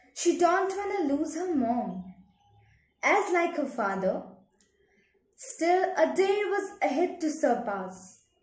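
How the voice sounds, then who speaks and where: Over a quiet background, a woman speaks very slowly at an extremely high pitch with very wide pitch swings, and room echo is audible. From India. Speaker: poet. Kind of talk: poetry reading. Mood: wistful, sad. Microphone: phone near.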